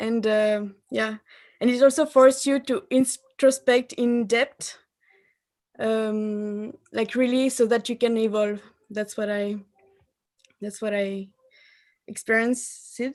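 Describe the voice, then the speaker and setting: With a French accent, a woman talks at a very slow pace in a fairly high voice, her intonation fairly even and her speech broken by long, frequent pauses. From France. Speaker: married participant sharing experience. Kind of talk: testimony. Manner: halting.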